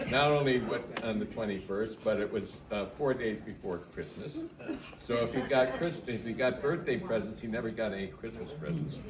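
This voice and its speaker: The speech moves at a moderate pace with lively intonation, amid noticeable background noise and audible room echo. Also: man, medium pitch for a man. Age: 80s+. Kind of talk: casual chat.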